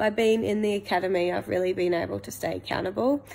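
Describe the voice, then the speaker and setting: A woman with a New Zealand accent speaks in a dark, mellow tone. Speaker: coaching client / small business owner; coaching client. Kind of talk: testimonial. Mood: warm, reflective, positive. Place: home room. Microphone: phone near.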